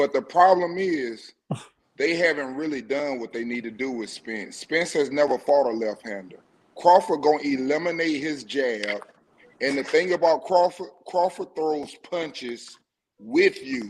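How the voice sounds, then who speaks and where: Fairly slow and fairly high-pitched, a man with an unremarkable speaking voice talks with lively intonation. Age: 50s. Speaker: caller. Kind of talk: casual chat.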